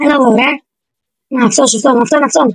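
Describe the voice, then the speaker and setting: The sound is dry and close, with no echo. A woman talks at a high pitch. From Greece. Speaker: gaming YouTuber. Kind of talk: gameplay commentary. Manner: animated.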